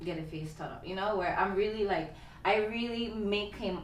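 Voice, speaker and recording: In a room with audible echo and noticeable background noise, a woman with an American accent talks at a moderate pace with ordinary pitch variation. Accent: stateside (US). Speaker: actor, model and dancer. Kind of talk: casual interview chat.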